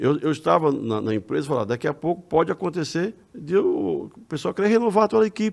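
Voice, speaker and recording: In a fairly high voice with vocal fry, a man rushes along at a very fast pace with very wide pitch swings and hardly any pauses. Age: 60s. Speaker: religious lecturer and retired accountant. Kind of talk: casual chat. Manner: halting.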